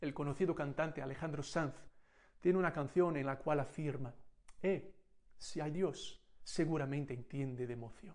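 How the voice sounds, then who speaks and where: A man's fairly high voice moves at a moderate pace, and he has an unremarkable speaking voice. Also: ordinary pitch variation. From Brazil. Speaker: missions speaker. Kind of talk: sermon. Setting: recorded message for a conference.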